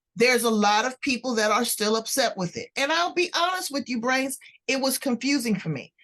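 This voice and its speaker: Using an ordinary speaking voice, a woman with an American accent talks at a fairly quick pace. Her intonation is lively. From US West Coast, South Central Los Angeles. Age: 60s. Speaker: podcast host. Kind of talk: interview podcast.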